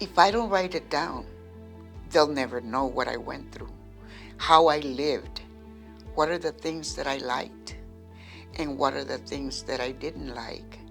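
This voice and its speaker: Over background music, a woman speaks at a fairly slow pace. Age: 70s. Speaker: poet and creative writing student. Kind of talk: interview answer.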